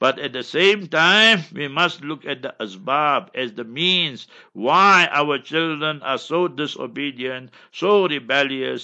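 At a fairly slow pace, a man with a fairly high pitch speaks in an ordinary speaking voice. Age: 60s. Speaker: Islamic scholar. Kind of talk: religious advice.

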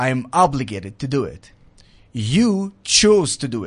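Here a man speaks with an Arabic accent at a medium pitch. His intonation is lively and the background quiet. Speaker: military veteran and advocacy speaker. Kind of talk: interview. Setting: studio.

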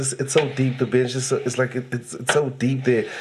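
A man's medium-pitched voice comes through with noticeable background noise around it. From Eastern Cape, South Africa. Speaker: comedian.

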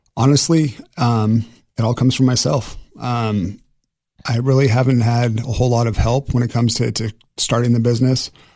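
In an American accent, a man speaks at a moderate pace with fairly even intonation and a dark, mellow tone. He leaves long, frequent pauses over a quiet background. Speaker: car detailing business owner. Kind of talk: casual radio interview. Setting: studio.

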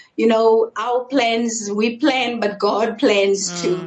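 A woman with a fairly high voice talks fairly slowly over noticeable background noise. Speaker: ministry worker giving testimony. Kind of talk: testimony. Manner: sincere tone.

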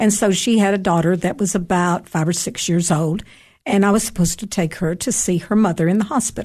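A somewhat breathy woman at medium pitch, fairly quick pace and very even loudness, over a quiet background. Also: ordinary pitch variation. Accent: Tennessee. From Tennessee, Upper Cumberland (Cookeville). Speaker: author and retired English teacher. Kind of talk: radio interview with storytelling.

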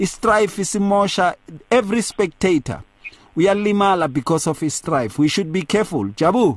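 A man talks at a moderate pace, his high pitch varying an ordinary amount. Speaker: radio host and pastor. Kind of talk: radio talk show discussion.

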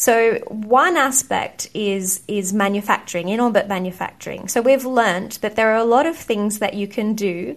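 A woman speaks with an Australian accent against a quiet background. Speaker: astronaut. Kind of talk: interview.

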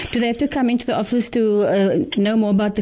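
Noticeable background noise accompanies a woman's fairly high voice. Her pitch variation is ordinary. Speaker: radio host. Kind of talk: radio interview.

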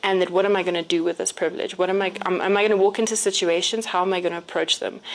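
A woman speaks at a medium pitch. Noticeable background noise runs under her voice. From South Africa, Johannesburg. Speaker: businesswoman. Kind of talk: casual chat.

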